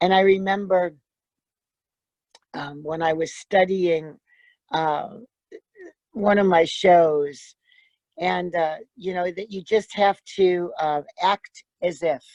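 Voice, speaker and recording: Speaking very slowly with long, frequent pauses, a woman keeps a fairly low pitch and fairly even intonation. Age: 70s. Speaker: congregant and performer. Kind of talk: personal testimony over video call. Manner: halting.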